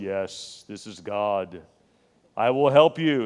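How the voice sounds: A booming, put-on character voice from a man, fairly low in pitch, at a very slow pace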